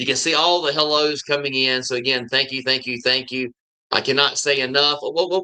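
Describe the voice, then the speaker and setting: A man with a Southern US accent, medium in pitch, bright and sharp in tone, his intonation fairly even. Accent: Southern drawl. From US South. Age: 50s. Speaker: YouTuber living abroad. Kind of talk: live stream chat. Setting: live stream. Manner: halting.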